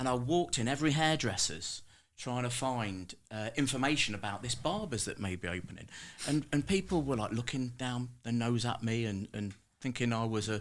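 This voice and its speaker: With a Leicester accent, a man talks at a moderate pace and medium pitch with ordinary pitch variation, recorded very cleanly against a silent background. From Leicester, England.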